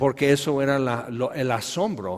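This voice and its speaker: A man is speaking. His pace is fairly slow. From Tehuacán, Puebla, Mexico. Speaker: preacher. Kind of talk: sermon.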